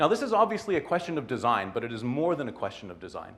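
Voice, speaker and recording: The man's pitch is fairly high and swings very widely. Vocal fry runs through his voice. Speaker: technologist giving a short talk. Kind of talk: short conference talk. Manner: hesitant, many fillers.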